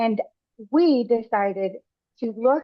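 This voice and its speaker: A woman with a Spanish accent talks in a fairly high voice. Her pitch varies in an ordinary way. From United States, raised by Mexican parents. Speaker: parent guide for families of deaf children. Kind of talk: webinar presentation.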